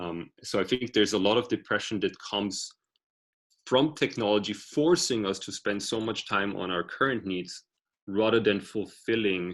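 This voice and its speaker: A man with a non-native accent talks at a moderate pace. His pitch is fairly low, with ordinary variation. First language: not English. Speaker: author and tech speaker. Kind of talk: online workshop talk. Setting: video call.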